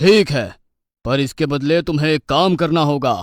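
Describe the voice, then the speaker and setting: A man's growling, cartoonish character voice, fairly high in pitch, at a moderate pace, in a very clean recording with a silent background. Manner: stern, dismissive.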